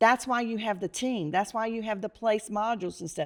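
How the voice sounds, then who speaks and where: On a very clean recording with a silent background, a woman with an American accent uses an unremarkable speaking voice. Her fairly high pitch moves with lively intonation at a fairly quick pace. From North Carolina. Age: 60s. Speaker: real estate agent. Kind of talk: interview.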